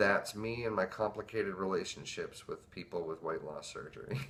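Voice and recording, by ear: A man speaks in a nervous, fairly bright tone. His pitch variation is ordinary.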